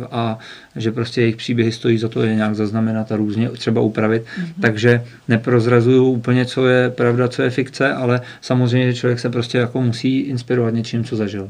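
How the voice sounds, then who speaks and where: The man's medium-pitched voice moves at a fairly quick pace in monotone, flat intonation. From northwestern Bohemia, Czech Republic. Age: 30s. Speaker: author. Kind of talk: interview.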